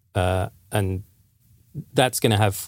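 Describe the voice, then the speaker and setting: The speaker has an English accent and fairly even intonation. The recording is very clean, with a silent background. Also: man. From England. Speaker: game design director. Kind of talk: casual podcast discussion.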